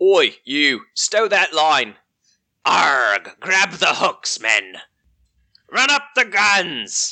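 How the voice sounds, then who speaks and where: A man puts on a gruff character voice, pitched high, against a quiet background. He speaks very slowly, with long, frequent pauses. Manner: barking orders.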